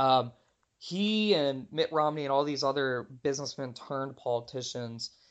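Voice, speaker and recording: A man with a normal speaking voice and an American accent talks at a moderate pace. His pitch is fairly high with ordinary variation, and the background is quiet. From Texas, Houston. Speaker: marketing consultant and author. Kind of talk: interview.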